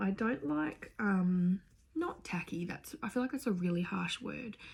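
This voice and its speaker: Speaking with an Australian accent, a woman has a medium pitch, a somewhat breathy quality and lively intonation. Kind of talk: casual talk to camera.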